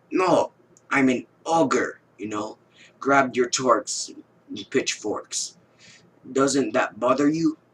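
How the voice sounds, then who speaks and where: A put-on character voice at a very slow pace. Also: man, medium pitch for a man. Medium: read story. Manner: gruff, curt.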